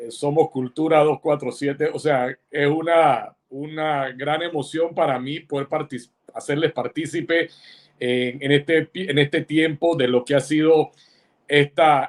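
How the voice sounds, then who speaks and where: A man with a fairly high pitch talks at a fairly slow pace in a flat monotone, the sound dry and close with no echo. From Panama. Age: 60s. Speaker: writer and insurance executive. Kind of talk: interview. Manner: halting, many fillers.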